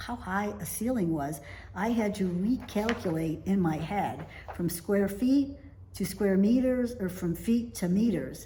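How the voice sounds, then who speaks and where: Speaking at a fairly slow pace, a woman with an American accent uses lively intonation in a room with audible echo. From United States. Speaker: vlogger, expat in Italy. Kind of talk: casual talking-to-camera vlog.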